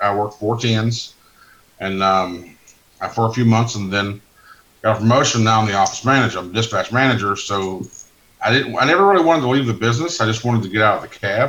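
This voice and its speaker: A loud, very fast male voice at medium pitch with ordinary pitch variation. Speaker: truck dispatch manager, former driver. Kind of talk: casual chat.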